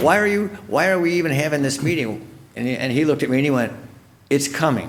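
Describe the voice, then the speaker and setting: Talking at a very fast pace, a man with a fairly high voice uses lively intonation amid audible room echo. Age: 70s. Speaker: local show host. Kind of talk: interview. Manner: repetitive, stumbling.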